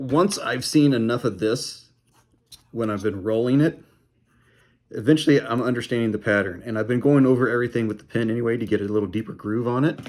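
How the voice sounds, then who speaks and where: Here a man talks at a very fast pace. His medium pitch shows ordinary variation. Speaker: craft hobbyist. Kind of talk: tutorial. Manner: casual, rambling.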